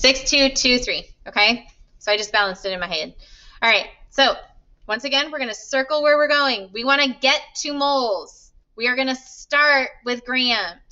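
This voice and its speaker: Lively intonation in a high female voice. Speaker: chemistry teacher. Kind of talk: lecture. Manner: fast.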